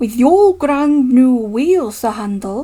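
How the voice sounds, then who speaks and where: Very slow and high-pitched, a woman speaks in a put-on character voice. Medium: read story. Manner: gentle, measured.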